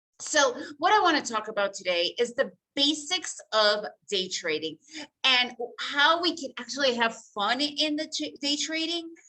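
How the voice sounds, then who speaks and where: The speaker uses a raised, projected voice in an American accent, bright and sharp in tone, at a moderate pace with very wide pitch swings. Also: woman, high pitch for a woman. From United States, Soviet-born refugee. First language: Russian. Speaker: day trader and trading educator. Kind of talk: webinar presentation. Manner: casual, conversational.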